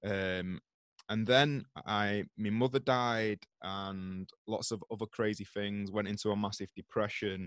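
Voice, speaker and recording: A man with a slight British accent and a fairly low pitch at a very slow pace, in a dry, close sound with no echo and a very clean recording with a silent background. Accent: British English, slight regional. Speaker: yoga teacher and author. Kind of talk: casual interview chat. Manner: animated, ranting.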